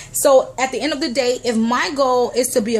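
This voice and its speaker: Amid noticeable background noise, a woman speaks in an animated tone at a moderate pace, her high voice showing ordinary pitch variation. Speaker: motivational vlogger. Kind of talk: motivational talk to camera.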